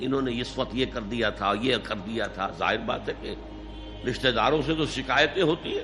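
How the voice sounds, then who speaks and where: Music plays in the background as a man talks. His pitch is medium, with ordinary pitch variation. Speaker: Islamic scholar giving a lecture. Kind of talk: Islamic sermon / lecture (bayan). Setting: recorded lecture to an audience. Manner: emotional, earnest, emphatic.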